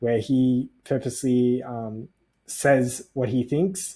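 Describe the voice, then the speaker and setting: A man with an Australian accent speaks at a medium pitch on a very clean recording with a silent background. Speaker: personality type educator. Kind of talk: tutorial. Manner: hesitant, many fillers.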